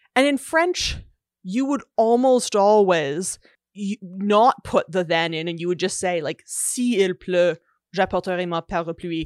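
A plain, everyday voice, with lively intonation at a fairly slow pace over a quiet background. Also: woman, medium pitch for a woman. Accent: Canadian. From Canada. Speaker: linguist and author. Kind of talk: casual interview. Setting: video call.

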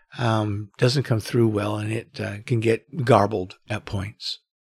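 On a very clean recording with a silent background and a dry, close sound with no echo, a man speaks fairly slowly in a medium pitch, somewhat breathy. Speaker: podcast host. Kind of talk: casual solo monologue. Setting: home bedroom.

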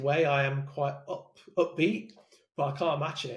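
In a somewhat breathy voice, a man delivers his words at a fairly slow pace. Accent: English Midlands. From England, Leicester. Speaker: sales development leader. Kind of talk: interview.

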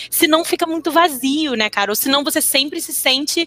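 A woman speaks in a raised, projected voice at a moderate pace. Her pitch is high. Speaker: interpreter and translator. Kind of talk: casual chat.

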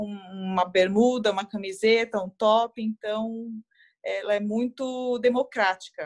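Using a normal speaking voice, a woman talks at a fairly slow pace. Her intonation stays fairly even. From Brazil, Guarulhos (São Paulo state). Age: 30s. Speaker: running influencer and executive. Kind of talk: interview conversation.

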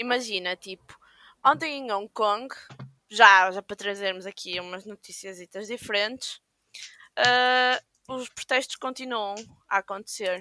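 Slow-ish and broken by long, frequent pauses, a woman's bright, sharp voice swings widely in loudness, recorded with a dry, close sound and no echo. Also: fairly high pitch for a woman, ordinary pitch variation. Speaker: podcast co-host. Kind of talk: casual chat. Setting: video call from home.

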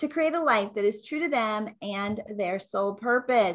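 Enthusiastic and full of lively intonation, a woman speaks at a moderate pace with a fairly high pitch. The recording is very clean, with a silent background. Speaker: podcast host. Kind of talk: interview.

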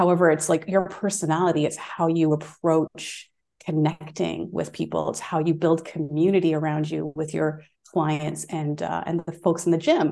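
A woman with a very deep, low pitch, dark and mellow with vocal fry, speaking at a moderate pace in monotone, flat intonation. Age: 40s. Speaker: fitness educator. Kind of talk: casual chat.

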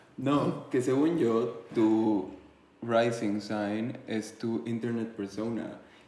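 With a dark, mellow tone, this voice moves at a very slow pace with fairly even intonation, and audible room echo surrounds it. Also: man, medium pitch for a man. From Mexico City. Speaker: podcast co-host. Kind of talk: casual chat.

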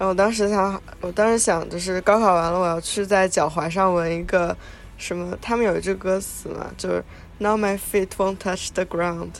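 A plain, everyday voice speaks at a moderate pace. The intonation stays fairly even. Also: woman. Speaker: podcast co-host. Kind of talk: casual chat.

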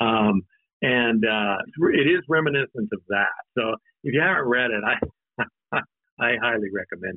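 A man with an American accent, medium pitch and lively intonation, at a moderate pace broken by long, frequent pauses. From Idaho, US. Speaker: lawyer and debut novelist. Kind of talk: casual interview. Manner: halting, many fillers.

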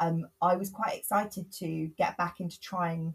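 A somewhat breathy woman's voice at a fairly low pitch. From England, Bristol. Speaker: author and body image campaigner. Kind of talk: podcast interview. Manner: hesitant with frequent fillers.

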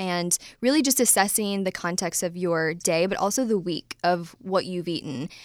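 A woman with a US Midwestern accent speaks at a moderate pace and medium pitch in a very clean recording with a silent background. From US Midwest, Ohio. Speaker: dietitian and nutrition business founder. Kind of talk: interview. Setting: studio.

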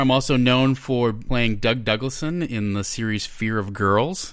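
Speaking at a fairly slow pace with an American accent, a man uses an unremarkable speaking voice and ordinary pitch variation. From Minnesota. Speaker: actor and game writer. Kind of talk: casual chat.

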